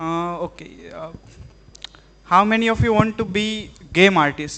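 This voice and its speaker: Over noticeable background noise, a raised, projected voice with an Indian accent speaks at a fairly slow pace, with ordinary pitch variation and big swings in loudness. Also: man, high pitch for a man. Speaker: artist giving a live demo. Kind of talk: live tech demo to students. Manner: halting, many fillers.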